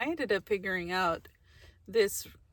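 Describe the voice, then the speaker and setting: Mumbling at a fairly slow pace, a woman uses a bright, sharp tone and lively intonation on a very clean recording with a silent background. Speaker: van life vlogger. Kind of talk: casual cooking vlog. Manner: mumbles, talks under breath.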